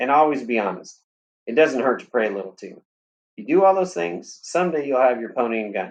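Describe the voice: A quiet backdrop behind plain reading aloud.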